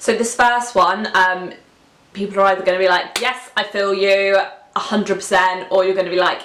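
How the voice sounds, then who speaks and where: A woman with a British accent at medium pitch, monotone and flat, at a moderate pace with very even loudness and audible room echo. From UK. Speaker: lifestyle vlogger. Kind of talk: casual vlog talk to camera. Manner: hesitant, many fillers.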